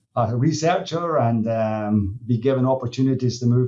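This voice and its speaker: A man with a Scottish accent, dark, mellow tone and fairly quick pace. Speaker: dairy nutrition industry executive. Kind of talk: podcast interview. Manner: halting, many fillers.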